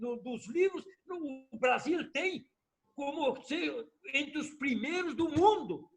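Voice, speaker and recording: Extremely high-pitched, a man talks at a very slow pace. His intonation is lively. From southern Brazil, Rio Grande do Sul (Missões region). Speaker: former politician. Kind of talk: interview testimony. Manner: animated.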